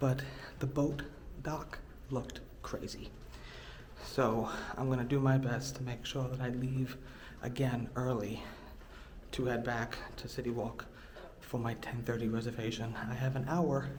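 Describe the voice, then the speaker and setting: A man at a moderate pace with a flat, monotone delivery and long, frequent pauses, over noticeable background noise and audible room echo. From New York. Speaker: travel vlogger. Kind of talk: casual vlog narration. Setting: hotel hallway then outdoors at boat dock.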